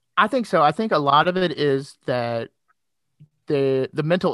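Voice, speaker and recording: With a slight Southern US accent, a man speaks at a fairly slow pace in a dry, close sound with no echo. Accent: slightly Southern. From Kentucky, Louisville. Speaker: former paramedic and podcaster. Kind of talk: casual chat. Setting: remote call.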